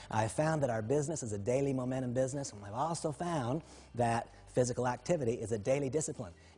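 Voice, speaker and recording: Somewhat breathy and dark, mellow in tone, a man talks at a very fast pace with ordinary pitch variation and big swings in loudness. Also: medium pitch for a man. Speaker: motivational speaker. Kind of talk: motivational talk.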